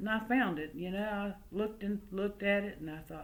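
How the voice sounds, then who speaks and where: Audible room echo surrounds a voice with a slight Southern US accent. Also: woman. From West Virginia coalfields, then US South from age six. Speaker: storyteller. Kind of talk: oral family storytelling. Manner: folksy, conversational.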